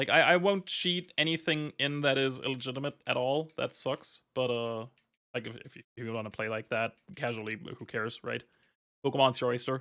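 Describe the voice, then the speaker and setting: A man with a German accent, bright, sharp tone, medium pitch and ordinary pitch variation, fairly quick pace, big swings in loudness. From Germany. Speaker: video game streamer. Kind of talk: live gameplay stream chat. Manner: casual, with many fillers and restarts.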